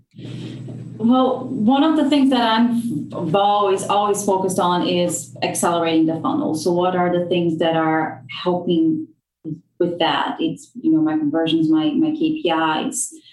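A fairly low-pitched woman's voice with very wide pitch swings and very even loudness, at a fairly slow pace, amid audible room echo. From Brazil. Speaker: marketing director. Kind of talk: podcast interview.

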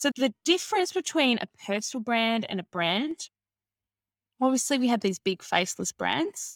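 A normal speaking voice with lively intonation at a moderate pace, on a very clean recording with a silent background and a dry, close sound with no echo. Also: woman. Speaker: marketing consultant and coach. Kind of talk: casual interview chat.

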